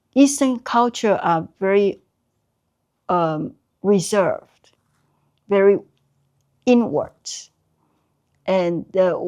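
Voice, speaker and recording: Speaking in a Taiwanese accent, a woman uses a medium pitch with ordinary pitch variation. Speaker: artist, Chinese brush painter. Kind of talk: oral history interview. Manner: halting, many fillers.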